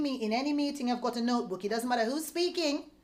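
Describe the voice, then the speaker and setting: Over noticeable background noise, a woman speaks very fast in a high pitch with lively intonation. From Jamaica. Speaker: sales leader. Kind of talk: motivational talk. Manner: animated.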